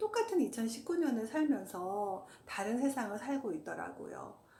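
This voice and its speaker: At a fairly slow pace, a high-pitched woman speaks with very wide pitch swings. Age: 50s. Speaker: hiker, walking enthusiast. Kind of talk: casual talk to camera.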